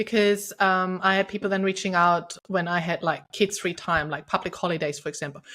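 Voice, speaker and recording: A woman speaks at a fairly quick pace with a German accent. The recording is very clean, with a silent background. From Germany. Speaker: podcast host, intimacy coach. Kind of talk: interview conversation. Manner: energetic.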